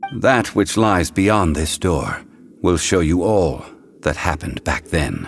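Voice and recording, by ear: Slow and low-pitched, a man's put-on character voice carries big pitch swings and vocal fry.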